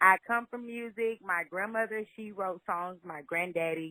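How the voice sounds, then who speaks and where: A woman with a Southern US accent talks in a medium pitch with ordinary pitch variation. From Louisiana, Shreveport. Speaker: singer-songwriter. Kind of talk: interview.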